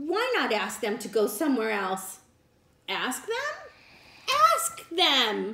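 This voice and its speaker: Using a put-on character voice, a woman talks in a cheerful tone at a fairly high pitch and fairly slow pace, with long, frequent pauses and audible echo. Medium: read story. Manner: cheerful, matter-of-fact.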